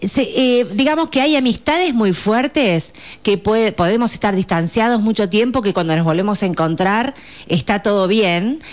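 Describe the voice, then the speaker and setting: In an ordinary speaking voice, a woman talks at a moderate pace and a fairly high pitch, with lively intonation and very even loudness. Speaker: psychologist. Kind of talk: radio interview.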